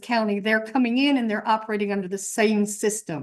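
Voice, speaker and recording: A woman's plain, everyday voice, medium in pitch, with fairly even intonation. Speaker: campus emergency management presenter. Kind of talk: presentation to faculty senate.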